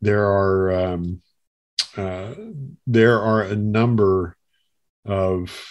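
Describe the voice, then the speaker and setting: Over a quiet background, a man talks in a fairly low voice. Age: 50s. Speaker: Bible college teacher and apologist. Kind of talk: casual conversation.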